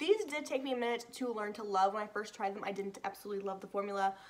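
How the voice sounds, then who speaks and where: A woman's very fast speech at fairly high pitch, fairly even intonation, over noticeable background noise. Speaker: beauty YouTuber. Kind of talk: product review.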